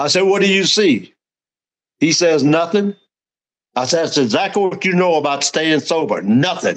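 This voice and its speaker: A man with a Southern US accent talks at a high pitch, with ordinary pitch variation and very even loudness. He leaves long, frequent pauses. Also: moderate pace. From Louisiana. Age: 80s+. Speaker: recovering alcoholic and sponsor. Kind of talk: personal story in a casual interview.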